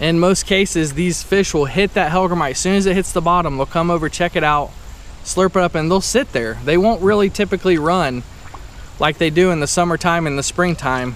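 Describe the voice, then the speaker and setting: Recorded dry with no echo, a man speaks at a high pitch with ordinary pitch variation. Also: fairly quick pace. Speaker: fishing vlogger. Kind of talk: casual vlog chat. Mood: upbeat, relaxed. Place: waterside. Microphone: phone near.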